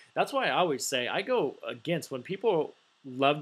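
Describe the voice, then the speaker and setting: A man is talking. The background is silent and the recording very clean. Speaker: stock market commentator. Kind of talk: screen-share market analysis video. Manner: fast; casual, filler-heavy.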